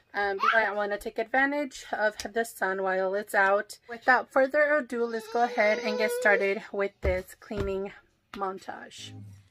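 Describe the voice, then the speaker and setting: A woman at a moderate pace, ordinary pitch variation, noticeable background noise behind her. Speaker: lifestyle vlogger. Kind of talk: casual vlog chat. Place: home room. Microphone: phone near.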